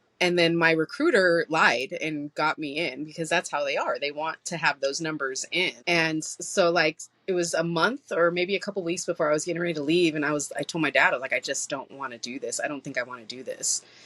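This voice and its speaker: Loud and at a fairly quick pace, a woman speaks with a fairly low pitch and ordinary pitch variation in a dry, close sound with no echo. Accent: American. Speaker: military veteran; podcast guest, host's cousin. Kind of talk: casual chat.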